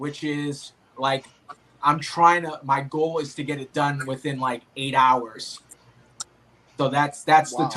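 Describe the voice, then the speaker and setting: Speaking at a very slow pace with long, frequent pauses, a man with a Boston accent uses a fairly high pitch, monotone, flat intonation and big swings in loudness. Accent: thick Boston. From Boston, Massachusetts. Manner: hesitant, many fillers.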